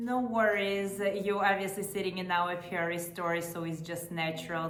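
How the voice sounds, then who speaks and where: A woman with an American accent at a moderate pace, her intonation fairly even, amid audible room echo and noticeable background noise. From Los Angeles. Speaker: podcast host. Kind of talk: interview.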